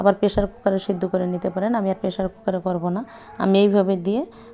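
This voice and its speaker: A woman speaks at medium pitch. Background noise is noticeable. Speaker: cooking channel host. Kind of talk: cooking tutorial.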